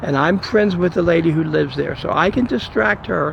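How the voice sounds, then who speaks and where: A man speaks at a fairly quick pace over noticeable background noise. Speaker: video blogger. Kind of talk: casual narration of home video. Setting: outdoors. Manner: quiet, hushed.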